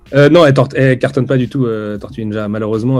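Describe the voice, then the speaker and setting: A man races along at a very fast pace with ordinary pitch variation as music plays in the background. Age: 30s. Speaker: comics editor. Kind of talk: casual interview. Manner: hesitant, many fillers.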